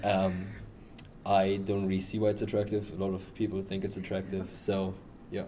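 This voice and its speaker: A man talks at a moderate pace in a dark, mellow tone. His intonation stays monotone and flat, with audible room echo. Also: fairly low pitch for a man. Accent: strong German. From Germany. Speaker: athlete. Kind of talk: casual chat. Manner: halting, many fillers.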